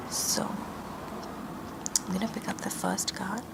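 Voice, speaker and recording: Someone whispers in a calm tone at a very slow pace, with noticeable background noise. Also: woman. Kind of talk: ASMR roleplay, tarot card reading. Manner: soft-spoken, calm.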